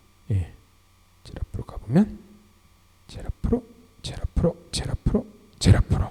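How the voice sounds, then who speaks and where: A somewhat breathy man's voice, dark and mellow in tone, dry and close with no echo. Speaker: university lecturer. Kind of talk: recorded online lecture.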